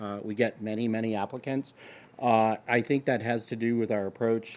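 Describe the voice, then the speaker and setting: Speaking at a moderate pace with a medium pitch, a man talks with an American accent on a very clean recording with a silent background. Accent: Boston, slips out. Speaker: government chief information officer. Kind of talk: panel discussion.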